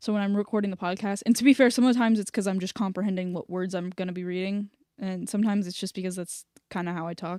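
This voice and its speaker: A woman speaks at a very fast pace with fairly even intonation. The recording is very clean, with a silent background and a dry, close sound with no echo. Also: medium pitch for a woman. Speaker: podcaster and voiceover artist. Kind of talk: casual live-stream commentary while editing. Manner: fast with sudden pauses.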